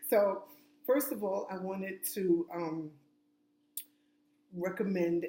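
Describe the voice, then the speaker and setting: At a fairly slow pace, the voice carries a dark, mellow tone and an American accent. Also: woman. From New York. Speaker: self-help vlogger. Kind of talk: casual advice monologue. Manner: loud.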